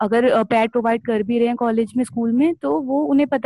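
With a dark, mellow tone, the speech goes at a moderate pace in a dry, close sound with no echo. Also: woman. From Delhi, India. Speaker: NGO worker, menstrual health campaigner. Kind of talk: personal story sharing.

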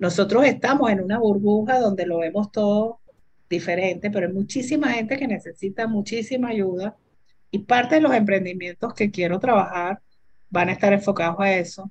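A woman speaks in a somewhat breathy voice at a medium pitch. Her pace is moderate and her pitch variation ordinary. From Venezuela. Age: 60s. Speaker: entrepreneur and computer scientist. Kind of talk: interview.

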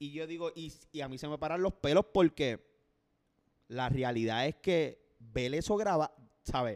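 A fairly high-pitched man with a Puerto Rican accent, big swings in loudness, long, frequent pauses, and a dry, close sound with no echo. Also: ordinary pitch variation, fairly slow pace. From Puerto Rico. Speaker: podcast co-host. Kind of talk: casual chat.

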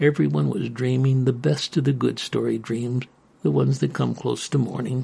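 Reading in a natural voice

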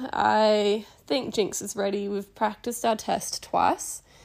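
In an Australian accent, a woman speaks at a fairly slow pace and a medium pitch. The recording is very clean, with a silent background. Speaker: podcast host, equestrian rider. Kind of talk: casual solo podcast. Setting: at home on couch.

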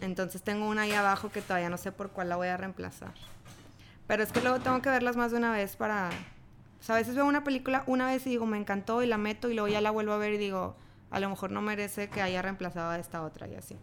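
A woman talks at a very fast pace, her medium pitch showing ordinary variation. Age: 20s. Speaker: podcast guest, friend of host. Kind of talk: casual chat.

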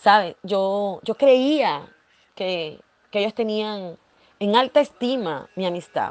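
Her tone is animated as the woman's voice travels through very wide pitch swings. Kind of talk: devotional talk. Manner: halting.

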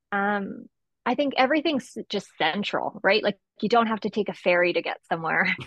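This woman has an unremarkable speaking voice with a Canadian accent. Her pace is moderate. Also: medium pitch for a woman, lively intonation. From Esquimalt, Vancouver Island, British Columbia, Canada. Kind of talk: casual interview conversation.

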